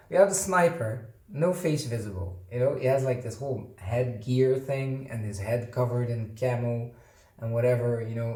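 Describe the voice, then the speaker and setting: A man with a non-native accent speaks at a moderate pace and a medium pitch. His voice is somewhat breathy, and audible room echo surrounds it. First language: not English. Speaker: board game unboxing youtuber. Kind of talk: casual unboxing commentary. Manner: hesitant with fillers.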